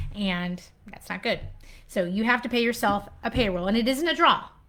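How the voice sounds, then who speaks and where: A woman speaks with an American accent. Her pitch sits fairly high. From US Pacific Northwest (Washington state). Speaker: accountant. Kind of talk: live Q&A stream. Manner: fast.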